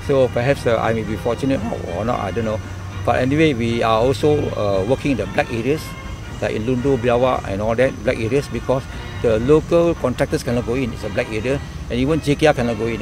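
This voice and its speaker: Music plays in the background as a man speaks at a very fast pace. His pitch sits in the medium range, with ordinary variation. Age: 70s. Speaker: retired army officer; army civil engineer. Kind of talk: interview answer.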